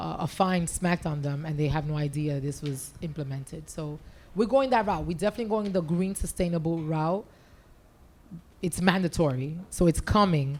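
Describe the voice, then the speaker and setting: At a moderate pace, a woman with an American accent and a fairly low pitch uses ordinary pitch variation in a plain, everyday voice. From New York. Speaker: city government official. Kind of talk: panel discussion.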